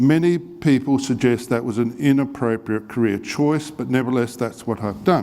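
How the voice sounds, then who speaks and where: A man with an Australian accent, a dark, mellow tone and medium pitch, at a moderate pace with ordinary pitch variation and hardly any pauses. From Australia, Adelaide. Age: 60s. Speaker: medical professor and researcher. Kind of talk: lecture.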